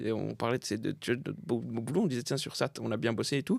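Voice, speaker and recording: Recorded very cleanly against a silent background, a man speaks with vocal fry in a dry, close sound with no echo. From France, Saint-Denis (Paris suburbs). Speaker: comedian. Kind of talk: casual chat.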